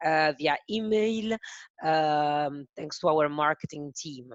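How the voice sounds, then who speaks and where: A woman with an Italian accent and ordinary pitch variation. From Italy. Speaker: webinar host, software presenter. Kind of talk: product webinar presentation. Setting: online webinar on Zoom. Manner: slow, careful; hesitant with fillers.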